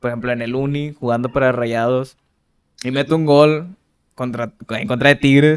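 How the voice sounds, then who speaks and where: A man speaks in a plain, everyday voice at a medium pitch. His intonation stays fairly even, and his pace is moderate. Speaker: podcast co-host. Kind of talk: casual chat. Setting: studio.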